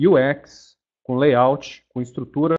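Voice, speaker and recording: Ordinary pitch variation from a man speaking very slowly. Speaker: webinar presenter, payments developer. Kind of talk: webinar presentation. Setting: online webinar. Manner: deliberately slow; casual, filler-heavy.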